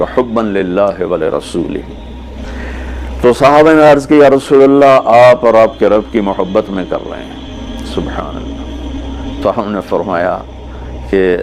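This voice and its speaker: A man's pitch swings very widely. Behind him, music can be heard. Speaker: Islamic preacher. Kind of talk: religious sermon (bayan) to an audience. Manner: emotional, preaching, conversational.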